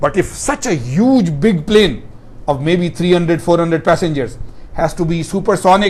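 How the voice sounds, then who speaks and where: Here a man talks at a moderate pace with a high pitch. Audible room echo surrounds his voice. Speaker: professor. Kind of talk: lecture.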